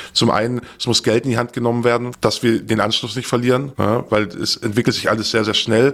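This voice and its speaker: The delivery is fairly quick with hardly any pauses. Intonation stays monotone and flat. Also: man, medium pitch for a man. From southern Germany, Stuttgart area. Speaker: former darknet market admin. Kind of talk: interview. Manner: measured, thoughtful.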